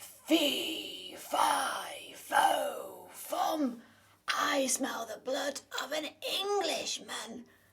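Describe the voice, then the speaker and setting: A put-on character voice, high in pitch, speaks at a very slow pace. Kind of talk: read story for children. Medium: read story.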